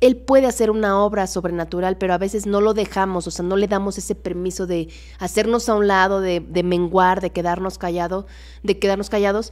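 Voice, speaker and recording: The speech moves at a fairly quick pace with fairly even intonation against a quiet background. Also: woman, medium pitch for a woman. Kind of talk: casual Bible study livestream. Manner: fast. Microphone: studio mic.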